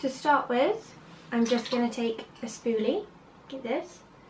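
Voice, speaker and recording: A woman speaks in a Bristolian accent. Her pitch is high. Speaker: amateur makeup artist. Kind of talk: makeup tutorial talk to camera.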